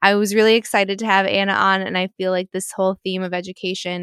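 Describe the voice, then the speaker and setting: A woman with an ordinary speaking voice talks at a fairly quick pace and medium pitch. The recording is very clean and dry, close with no echo, over a silent background. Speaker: podcast host. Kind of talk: casual interview.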